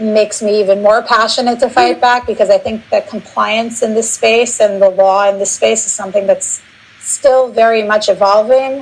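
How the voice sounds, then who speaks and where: A woman's fairly high voice at a moderate pace, fairly even in intonation, with noticeable background noise. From United States. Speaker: nonprofit founder and attorney. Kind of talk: interview. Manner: fillers, occasional repeats.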